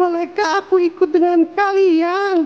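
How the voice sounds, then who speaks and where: A put-on character voice at an extremely high pitch, with monotone, flat intonation and a fairly slow pace. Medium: read story. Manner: cheerful, eager.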